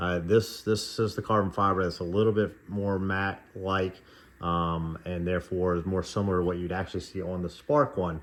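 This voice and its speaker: A man's very deep, low voice with fairly even intonation over a quiet background. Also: moderate pace. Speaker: model car reviewer. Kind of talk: casual product review. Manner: monotone; hesitant, many fillers.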